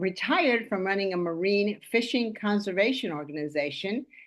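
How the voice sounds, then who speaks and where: Ordinary pitch variation and a moderate pace in a normal speaking voice. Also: woman. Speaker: podcast host. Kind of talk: podcast intro.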